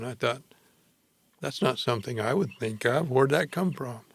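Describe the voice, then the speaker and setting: The voice has a bright, sharp tone with vocal fry. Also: man. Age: 80s+. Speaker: retired doctor. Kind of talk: casual chat.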